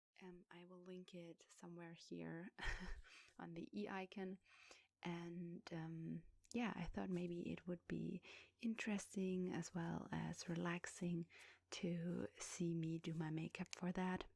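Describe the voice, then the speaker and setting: A soft-spoken woman's fairly low voice, very slow and fairly even in intonation, with big swings in loudness and a dry, close sound with no echo. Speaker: ASMR creator. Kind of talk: ASMR makeup tutorial talk to camera.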